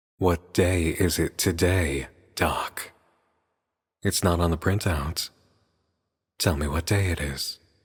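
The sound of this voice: A man's put-on character voice, raspy and very deep and low, at a fairly slow pace with long, frequent pauses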